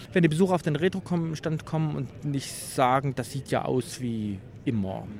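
The pitch swings very widely. There is a somewhat breathy quality to the voice. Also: man. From Leipzig, eastern Germany. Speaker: retro exhibition organizer and collector. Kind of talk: trade fair interview. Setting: exhibition hall at a games fair.

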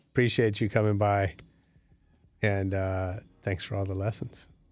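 A man speaks at a fairly slow pace with a fairly low pitch. The recording is very clean, with a silent background. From US West Coast (San Francisco). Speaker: podcast host. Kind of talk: casual interview. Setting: studio.

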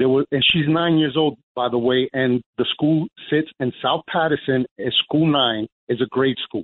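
Speaking at a fairly slow pace with an American accent, a man keeps a fairly high pitch, fairly even intonation and very even loudness. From New Jersey. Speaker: caller. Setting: phone call. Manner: agitated, halting.

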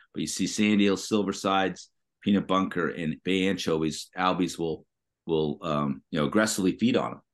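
In an American accent, a man with a very deep, low pitch speaks at a moderate pace with ordinary pitch variation against a quiet background. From Massachusetts. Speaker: tackle shop owner. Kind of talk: casual interview. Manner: halting, many fillers.

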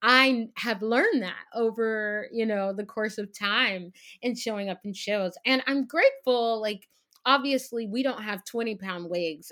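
With an American accent, a woman speaks in a bright, sharp tone at a fairly high pitch, in a very clean recording with a silent background. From Texas. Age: young. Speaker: Broadway actress. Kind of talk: casual chat.

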